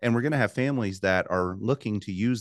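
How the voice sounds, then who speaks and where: A man with an American accent talks in an ordinary speaking voice at a fairly quick pace with ordinary pitch variation. The sound is dry and close with no echo, over a quiet background. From US South. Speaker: pastor. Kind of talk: interview conversation.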